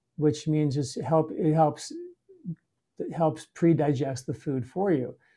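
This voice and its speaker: Somewhat breathy and dark, mellow in tone, a man's fairly high-pitched voice moves at a moderate pace with fairly even intonation. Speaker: Ayurvedic doctor and podcast host. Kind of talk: interview.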